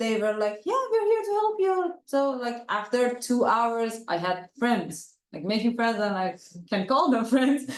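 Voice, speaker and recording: A woman with a non-native accent and a fairly high pitch speaks with lively intonation. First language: not English. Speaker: international student. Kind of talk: panel discussion.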